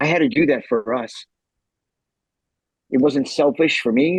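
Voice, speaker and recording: The sound is dry and close, with no echo. A man talks at a moderate pace with medium pitch and ordinary pitch variation. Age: 60s. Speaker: motivational speaker. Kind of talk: interview answer.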